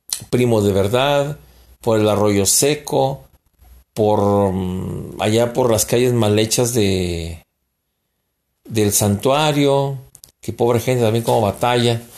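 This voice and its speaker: Very slow and fairly low in pitch, a man talks with ordinary pitch variation in a very clean recording with a silent background. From Mexico. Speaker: podcast host. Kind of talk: political commentary monologue. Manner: halting.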